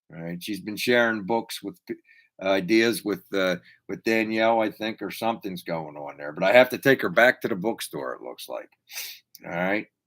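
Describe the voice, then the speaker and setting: In an American accent, a man talks at a fairly low pitch with ordinary pitch variation. His loudness swings a lot, and his pace is moderate. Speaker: YouTube car hobby livestream host. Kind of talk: casual livestream chat. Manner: casual, rambling with hesitations.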